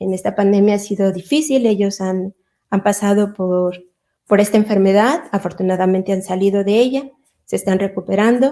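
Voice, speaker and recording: Speaking at a moderate pace, a woman has a medium pitch, ordinary pitch variation, and a dark, mellow tone. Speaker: chemist and religious missionary at a university. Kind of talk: personal testimony at an online panel.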